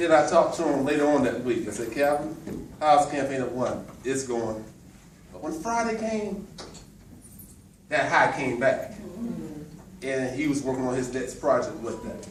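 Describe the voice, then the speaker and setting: A man with an American accent talks at a moderate pace with lively intonation and long, frequent pauses. Audible room echo and noticeable background noise are in the recording. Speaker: motivational speaker. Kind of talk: motivational speech. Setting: farewell party, audience, no microphone. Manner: loud.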